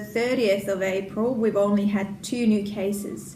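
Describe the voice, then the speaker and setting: Audible room echo surrounds a woman speaking at a medium pitch. Her pace is very slow and her intonation monotone and flat. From Finland. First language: Finnish. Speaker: knitting and crochet podcaster. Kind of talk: casual podcast chat. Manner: hesitant, many fillers.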